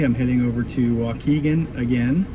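A man's pitch moves in an ordinary way while noticeable background noise carries on. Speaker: boat buyer vlogger. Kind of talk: casual vlog chat. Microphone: phone near.

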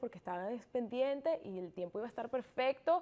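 A woman's fairly high-pitched voice with ordinary pitch variation. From Venezuela. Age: 20s. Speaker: triathlete; interview guest. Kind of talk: interview. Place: studio. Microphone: lapel.

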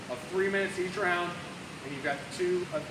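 Through noticeable background noise comes a man's high voice. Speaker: fitness coach. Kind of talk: workout instruction. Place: gym. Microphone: camera far.

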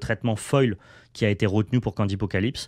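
A man talks at a moderate pace with a fairly low pitch. The sound is dry with no echo, and the background is quiet. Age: 30s. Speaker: card game YouTuber. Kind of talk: card unboxing video. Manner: animated. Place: home room.

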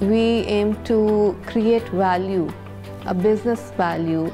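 Over music in the background, a woman speaks at a very slow pace with fairly even intonation. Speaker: aerospace engineer, company founder. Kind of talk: interview answer. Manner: soft-spoken.

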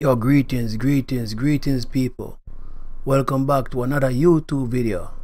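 A man's normal speaking voice, medium in pitch, with fairly even intonation at a moderate pace. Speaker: streamer. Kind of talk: casual talk to camera. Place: home room. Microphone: studio mic.

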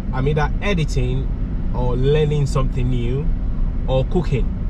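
Loud background noise surrounds a man whose voice comes through in a dry sound with no echo. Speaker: driver vlogger. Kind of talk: casual vlog chat. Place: car.

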